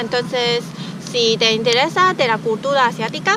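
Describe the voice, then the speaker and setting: A woman's fairly high-pitched voice comes through over noticeable background noise. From Taiwan. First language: Chinese (speaking Spanish). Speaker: youtuber. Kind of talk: casual interview. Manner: halting, many fillers.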